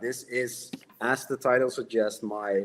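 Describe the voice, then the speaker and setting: A man speaking fairly slowly with a Dutch accent. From Netherlands. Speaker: horror novelist. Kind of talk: casual chat.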